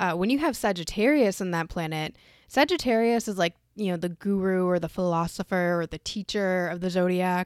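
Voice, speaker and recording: A woman speaks at a medium pitch with ordinary pitch variation. The recording is very clean and dry, with a close sound, no echo and a silent background. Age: 20s. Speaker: astrology podcast host. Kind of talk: casual solo chat. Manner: quieter than usual.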